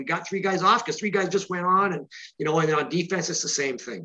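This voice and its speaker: A man talks at a very fast pace with a bright, sharp tone. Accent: Canadian. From Canada. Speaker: author of a football book. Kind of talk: interview.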